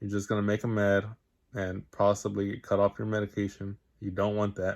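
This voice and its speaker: Recorded very cleanly against a silent background, a man speaks in a fairly low pitch. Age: 20s. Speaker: vlogger sharing personal experience. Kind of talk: personal testimony monologue. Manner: halting, with fillers and repetitions.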